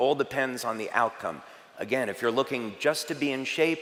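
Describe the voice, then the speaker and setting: A man's medium-pitched voice. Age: 60s. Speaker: health and product presenter. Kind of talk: presentation to live audience.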